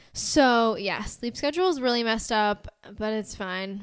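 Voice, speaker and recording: A woman's normal speaking voice with an American accent, fairly high in pitch, with ordinary pitch variation and a moderate pace. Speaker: podcast co-host. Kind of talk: casual chat. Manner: casual, filler-heavy.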